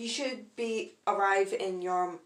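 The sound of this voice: Pitch varies in an ordinary way. The delivery is an unforced reading voice.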